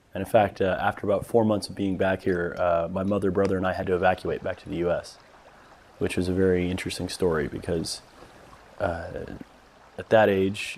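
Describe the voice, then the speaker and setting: A man with an American accent and a very deep, low pitch, monotone and flat in intonation, at a fairly quick pace over noticeable background noise. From Saudi Arabia, expatriate American family. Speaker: filmmaker. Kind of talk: documentary interview.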